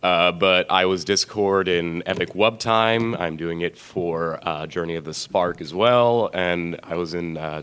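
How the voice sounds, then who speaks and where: Speaking at a fairly slow pace with hardly any pauses, the man has a very deep, low pitch and fairly even intonation. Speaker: fan voice actor. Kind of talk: convention panel.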